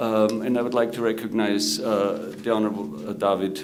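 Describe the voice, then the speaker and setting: A man at a fairly low pitch and moderate pace, ordinary pitch variation, audible room echo and noticeable background noise. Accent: Austrian. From Austria, Salzburg. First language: German. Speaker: government protocol director and moderator. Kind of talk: conference panel moderation. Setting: conference room with audience. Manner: halting, many filler words.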